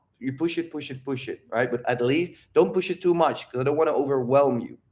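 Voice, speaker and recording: A man with a fairly high pitch, in a Dutch accent. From Netherlands. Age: 30s. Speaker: dating and confidence coach. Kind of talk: Q&A talk to viewers. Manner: animated.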